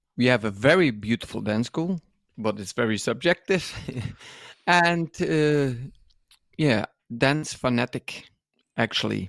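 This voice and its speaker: Speaking with a Dutch accent, a man at a medium pitch uses lively intonation at a fairly slow pace. He leaves long, frequent pauses, and the sound is dry and close with no echo. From Netherlands. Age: 50s. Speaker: dance school owner and podcast co-host. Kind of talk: casual interview. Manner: halting.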